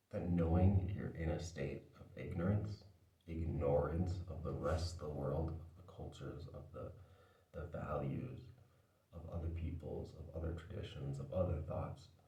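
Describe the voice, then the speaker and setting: A man's very deep, low voice with ordinary pitch variation at a moderate pace, with noticeable background noise and audible room echo. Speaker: video essayist. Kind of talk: casual vlog monologue. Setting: indoors, talking to camera. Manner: quiet, not loud; careful enunciation.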